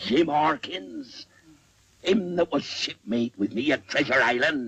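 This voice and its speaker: A man puts on a character voice, pitched fairly high and delivered fairly slowly. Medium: short film. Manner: rolling, theatrical, growling.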